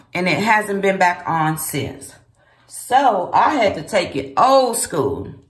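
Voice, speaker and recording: A woman's voice moves in very wide pitch swings, with audible room echo. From US South, Memphis, Tennessee. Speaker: vlogger. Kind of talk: casual vlog monologue. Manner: conversational, with frequent fillers.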